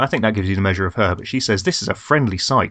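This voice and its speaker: A man with a southern English accent and fairly low pitch. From southern England. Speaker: podcast host. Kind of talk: casual chat.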